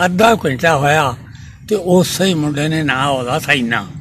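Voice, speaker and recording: A man talks with a fairly high pitch. Its variation is ordinary, and there's noticeable noise in the background. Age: 80s+. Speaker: elderly eyewitness storyteller. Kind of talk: oral history storytelling.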